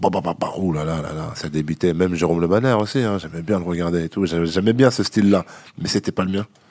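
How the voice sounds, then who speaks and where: A man speaks at a very deep, low pitch. His pace is fairly quick. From France, Vendée. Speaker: MMA fighter. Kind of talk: interview.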